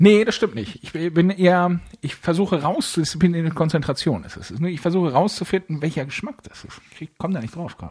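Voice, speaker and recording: A man talks with a high pitch at a fairly quick pace. His pitch varies in an ordinary way. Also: big swings in loudness. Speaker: podcast co-host. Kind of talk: casual chat. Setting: recording from home, remote. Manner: calm, composed.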